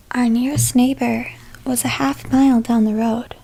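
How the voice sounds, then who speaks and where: Soft-spoken and calm, a woman whispers at a fairly slow pace over noticeable background noise. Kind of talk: read story. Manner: whispered.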